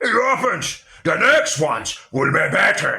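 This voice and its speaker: A man puts on a gruff, raspy character voice and speaks at a fairly slow pace. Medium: read story. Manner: lazy, gruff.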